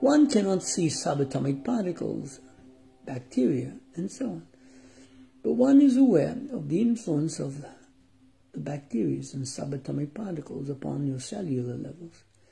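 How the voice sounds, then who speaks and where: A man talks in a calm tone with big swings in loudness. Music plays in the background. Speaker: meditation guide. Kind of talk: guided meditation. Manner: slow, calm, formal; long silent pauses.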